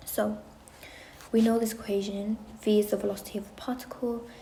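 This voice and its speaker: Very fast speech over noticeable background noise. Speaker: chemistry tutor. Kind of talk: tutorial. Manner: casual.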